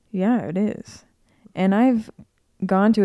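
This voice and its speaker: On a very clean recording with a silent background, a woman with an American accent speaks in a dark, mellow tone. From US Midwest, Cincinnati. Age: 20s. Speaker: podcast co-host, artist. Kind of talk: casual chat.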